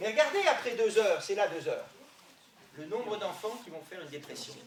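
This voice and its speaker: Amid noticeable background noise and audible room echo, a man talks at a fairly quick pace. His high voice has very wide pitch swings. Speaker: sports doctor. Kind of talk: lecture. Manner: fast; loud.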